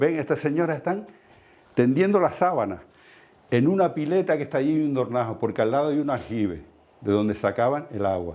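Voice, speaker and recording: Very wide pitch swings in a man's dark, mellow voice at a moderate pace. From Canary Islands, La Palma (El Paso). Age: 60s. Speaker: heritage inspector and lecturer. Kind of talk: lecture. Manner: halting.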